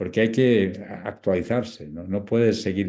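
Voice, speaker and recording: This man's voice sits at a fairly low pitch with a dark, mellow tone. His intonation stays fairly even. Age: 70s. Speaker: palliative care doctor and author. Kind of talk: interview talk.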